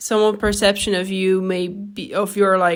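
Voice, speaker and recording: With a non-native accent, a woman speaks at a medium pitch. Her pace is fairly slow and her intonation is flat and monotone. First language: not English. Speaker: podcaster. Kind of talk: casual monologue. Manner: halting, with fillers and false starts.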